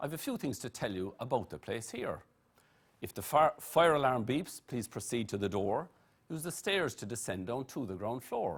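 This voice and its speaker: Speaking with an Irish accent, a man at medium pitch keeps a moderate pace and lively intonation on a very clean recording with a silent background. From Ireland, Blarney (County Cork). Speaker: master of ceremonies. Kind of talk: rhyming verse MC address. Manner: rhythmic, rhyming delivery.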